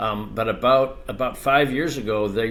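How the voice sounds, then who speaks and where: A man's medium-pitched voice at a moderate pace, fairly even intonation, audible room echo. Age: 60s. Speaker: ADU industry expert. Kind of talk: podcast interview.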